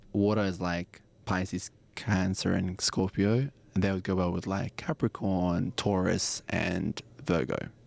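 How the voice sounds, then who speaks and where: In a very clean recording with a silent background and a dry, close sound with no echo, a man with an Australian accent speaks at a fairly slow pace in a very deep, low pitch with ordinary pitch variation. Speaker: astrology and tarot guest. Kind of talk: casual chat. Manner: animated.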